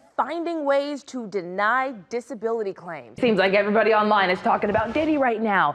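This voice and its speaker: This woman talks at a fairly quick pace in a medium pitch. Her tone is energetic. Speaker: news anchor and reporter. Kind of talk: explanatory news package. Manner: conversational, energetic.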